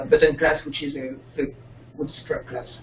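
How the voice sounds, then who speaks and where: Over noticeable background noise, a man talks at a very fast pace. His pitch is fairly high and his intonation fairly even. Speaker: software developer presenting his extension. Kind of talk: software tutorial demo. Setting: video call with screen sharing. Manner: halting. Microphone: connection keeps dropping.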